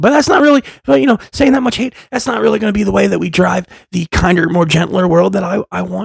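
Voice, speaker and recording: Loud and at a fairly quick pace, a man with a high pitch makes very wide pitch swings, the sound dry and close with no echo. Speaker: vlogger sharing personal recovery stories. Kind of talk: casual monologue vlog. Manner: fast.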